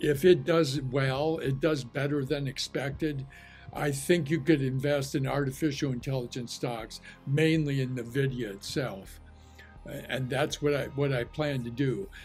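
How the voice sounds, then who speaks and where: With faint music in the background, a man talks at a fairly slow pace. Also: fairly even intonation. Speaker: market commentator. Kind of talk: commentary. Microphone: webcam.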